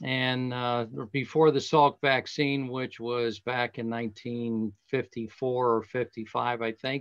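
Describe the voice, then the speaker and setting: A man with an American accent at a very slow pace, medium in pitch, monotone and flat in intonation, with hardly any pauses. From US Northeast (western Pennsylvania, Latrobe). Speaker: golf professional. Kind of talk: casual talk. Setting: video call.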